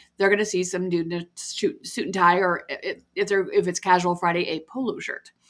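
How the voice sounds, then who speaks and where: Using a plain, everyday voice, a woman talks at a medium pitch and a fairly quick pace with fairly even intonation. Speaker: podcast host. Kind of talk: casual chat.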